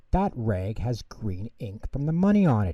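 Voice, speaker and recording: Using a put-on character voice, a man speaks at a medium pitch and moderate pace. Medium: read story. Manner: brash, dramatic.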